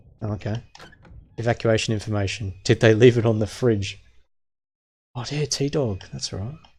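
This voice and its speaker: The voice is somewhat breathy, with ordinary pitch variation and big swings in loudness. Long, frequent pauses break it up. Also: man, medium pitch for a man, moderate pace. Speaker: game streamer. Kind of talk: live gameplay commentary. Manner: slurred words.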